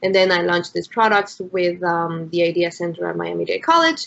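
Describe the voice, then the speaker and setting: A woman of medium pitch speaks with a Spanish accent. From Mexico City, Mexico. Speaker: entrepreneur, founder of eco-friendly brand. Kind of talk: business pitch discussion on video call. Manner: hesitant, many fillers.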